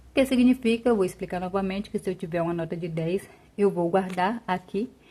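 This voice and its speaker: Somewhat breathy and dark, mellow in tone, a woman's voice sits at medium pitch. She talks at a fairly quick pace with ordinary pitch variation. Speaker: personal finance YouTuber. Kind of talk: tutorial. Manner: casual.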